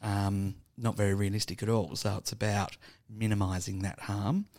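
Pitched fairly low, a man with an Australian accent speaks at a moderate pace with fairly even intonation. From Tasmania, Burnie. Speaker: homeless support worker. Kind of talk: casual interview. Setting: studio.

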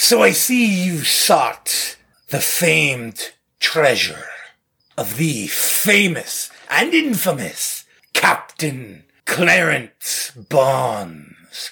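Put-on character voice from a man, theatrical in tone, fairly high in pitch and very slow in pace. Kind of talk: pirate dialect. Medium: actual play. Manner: theatrical, piratey.

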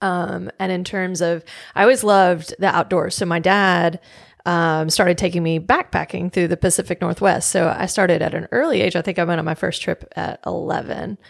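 At a moderate pace, a woman with an American accent uses a fairly low pitch, vocal fry and fairly even intonation in a very clean recording with a silent background. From Memphis, Tennessee, US South. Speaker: physical therapist. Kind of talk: casual chat.

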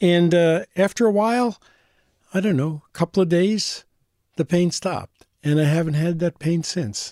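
The man has a high pitch with a dark, mellow tone. His pitch varies in an ordinary way at a moderate pace. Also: dry, close sound with no echo. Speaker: former auto shop owner. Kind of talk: casual chat.

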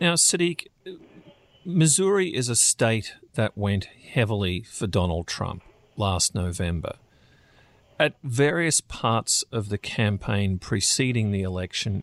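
A man talks at a fairly slow pace with lively intonation and a fairly low pitch, in an unremarkable speaking voice. The sound is dry and close with no echo, over a quiet background. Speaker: news editor and podcast host. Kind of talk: professional interview, news podcast.

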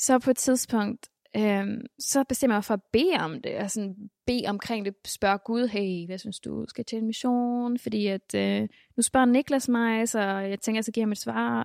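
An unremarkable speaking voice talks at a fairly slow pace with ordinary pitch variation. The sound is dry and close with no echo, on a very clean recording with a silent background. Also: woman, fairly high pitch for a woman. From Denmark, Mexican family background. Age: 20s. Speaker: church member and convert. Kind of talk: interview testimony. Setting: church building.

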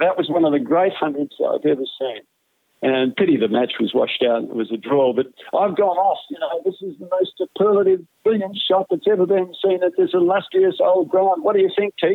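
This man speaks in a broad New South Wales accent. His voice is high-pitched, with lively intonation. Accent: Australian, broad rural New South Wales. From central western New South Wales, Australia. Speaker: retired sports commentator. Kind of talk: casual interview.

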